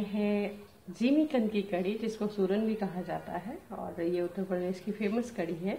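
With audible room echo, a woman talks at a fairly slow pace using ordinary pitch variation. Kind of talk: tutorial. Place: kitchen. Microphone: phone near.

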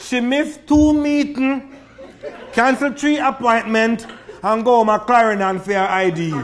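A man speaks with a Jamaican accent at an extremely high pitch and a moderate pace, with ordinary pitch variation. Noticeable background noise sits behind him. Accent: Jamaican Creole. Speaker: poet. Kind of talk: poetry reading.

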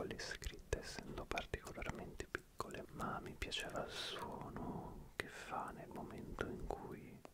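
Speech comes at a very slow pace. The sound is dry with no echo, over loud background noise. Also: man. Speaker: ASMR creator. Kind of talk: soft-spoken ASMR chat. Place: home room. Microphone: studio mic.

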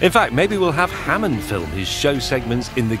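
Moderate-paced speech from a man over background music. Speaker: TV presenter. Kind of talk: game trailer narration.

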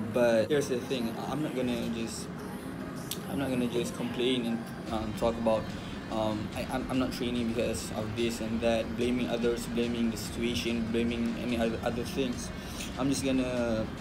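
Loud background noise surrounds a man who speaks at a medium pace. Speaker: fitness vlogger. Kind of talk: casual vlog chat. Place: home room. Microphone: phone near.

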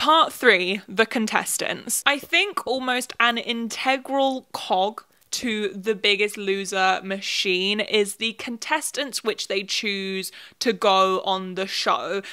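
In a British accent, a woman speaks very slowly with a fairly high, bright, sharp tone and ordinary pitch variation against a quiet background. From UK. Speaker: YouTuber. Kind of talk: video commentary essay. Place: home room. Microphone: handheld.

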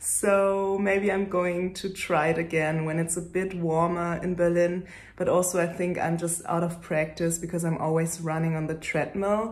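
A woman at a fairly low pitch and moderate pace, with little pitch movement and few pauses.

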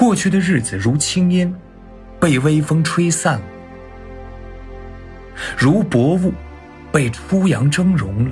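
Over music in the background, a man with a fairly high pitch speaks at a very slow pace, leaving long, frequent pauses. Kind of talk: sleep poetry reading. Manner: soft, slow, intimate.

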